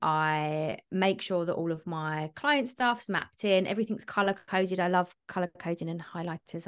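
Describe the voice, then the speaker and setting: Against a quiet background, a woman with a British accent and a fairly low pitch talks at a moderate pace with ordinary pitch variation and hardly any pauses. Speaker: business coach and mentor. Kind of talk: casual interview chat.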